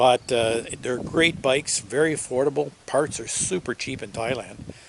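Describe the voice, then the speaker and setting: A man talks at a moderate pace and a medium pitch. His loudness swings widely over noticeable background noise. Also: ordinary pitch variation. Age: 60s. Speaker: motorcycle vlogger. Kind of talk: product review vlog. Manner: halting, many fillers.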